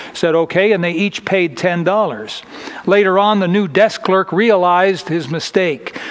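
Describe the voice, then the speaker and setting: At a fairly slow pace, a man talks at a high pitch with ordinary pitch variation. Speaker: preacher. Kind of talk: sermon. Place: church.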